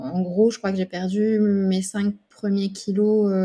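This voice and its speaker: A woman's dark, mellow, somewhat breathy voice at a very slow pace. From Burgundy, France. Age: 30s. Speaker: speech therapist, dietetic program patient. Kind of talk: interview testimony. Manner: hesitant, many fillers.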